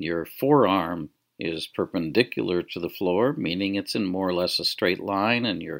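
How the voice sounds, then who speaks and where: Recorded very cleanly against a silent background, a man with a plain, everyday voice and fairly low pitch sounds dry and close, with no echo. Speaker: guided relaxation teacher. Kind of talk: guided meditation. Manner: slow, gentle, soothing, unhurried with long pauses; soft-spoken, calm, instructional.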